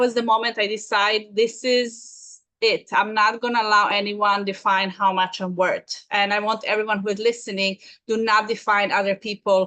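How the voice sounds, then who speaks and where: A woman's bright, sharp, fairly high voice at a fairly quick pace, with a Serbian accent. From Serbia (Belgrade). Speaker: business consultant. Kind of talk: interview. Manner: halting.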